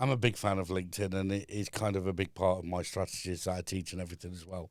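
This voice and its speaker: The recording is very clean with a silent background. A man with a very deep, low pitch speaks very fast with fairly even intonation. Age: 40s. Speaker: business consultant and trainer. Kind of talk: casual chat. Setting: studio.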